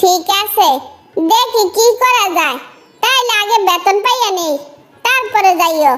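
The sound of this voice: A squeaky, cartoonish character voice from a woman, extremely high in pitch, with lively intonation at a fairly slow pace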